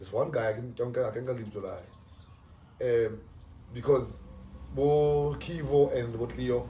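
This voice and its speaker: With audible room echo, a man speaks at a fairly slow pace, his loudness swinging widely. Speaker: podcast host. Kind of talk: casual chat.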